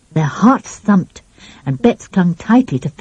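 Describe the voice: Someone does plain reading aloud. The pitch moves in a lively way.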